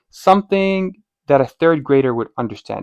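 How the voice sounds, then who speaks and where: Over a quiet background, the sound is dry and close with no echo. A man with a non-native accent talks at a moderate pace with lively intonation. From outside North America. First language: not English. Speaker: medical student and test prep coach. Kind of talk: tutorial. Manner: animated.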